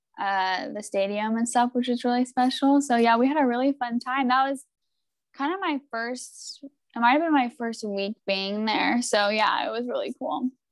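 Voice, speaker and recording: In a high voice with ordinary pitch variation, a woman with a West Coast accent talks at a moderate pace, recorded with a dry, close sound and no echo. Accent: American West Coast. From US, Oregon. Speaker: professional footballer. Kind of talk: casual interview.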